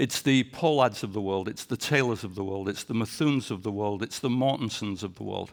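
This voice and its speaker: A man's fairly low voice at a fairly quick pace, with ordinary pitch variation and hardly any pauses. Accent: English. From England. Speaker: sports executive. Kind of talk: leadership talk.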